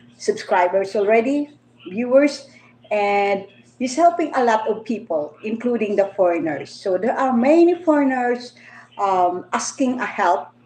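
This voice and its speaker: A woman's fairly high voice with a Filipino accent, very wide pitch swings and a fairly slow pace. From Philippines. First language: Filipino languages (Tagalog, Bisaya, Ilonggo). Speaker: vlogger. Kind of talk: livestream monologue. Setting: livestream. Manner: halting.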